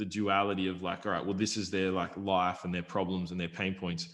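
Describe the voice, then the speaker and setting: With an Australian accent, a man speaks at a very deep, low pitch and a fairly quick pace. His intonation is monotone and flat. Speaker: YouTube affiliate marketer. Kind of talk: casual podcast interview. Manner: fast.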